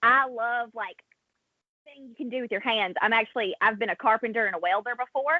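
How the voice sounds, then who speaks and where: With an American accent, a woman speaks at a fairly quick pace and fairly high pitch, with big swings in loudness. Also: ordinary pitch variation. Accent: thick Southern US accent, toned down on TV. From US South. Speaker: wrestling interviewer. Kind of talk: casual chat.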